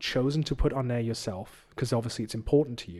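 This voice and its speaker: A medium-pitched male voice with an English accent. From England. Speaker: youth leader and preacher. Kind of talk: casual chat. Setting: studio.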